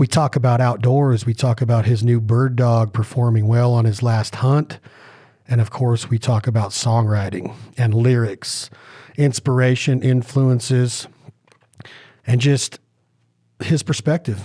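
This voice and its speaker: A man with a dark, mellow, somewhat breathy voice speaks at a medium pitch and a fairly slow pace, with fairly even intonation, very even loudness and long, frequent pauses. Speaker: podcast host. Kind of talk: podcast intro.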